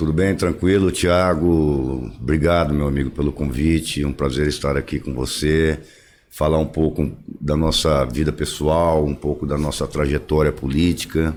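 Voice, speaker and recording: Over noticeable background noise, a man with a very deep, low pitch speaks at a fairly slow pace with fairly even intonation. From Brazil, interior of São Paulo state (Tupã). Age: 60s. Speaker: former mayor, politician. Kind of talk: podcast interview.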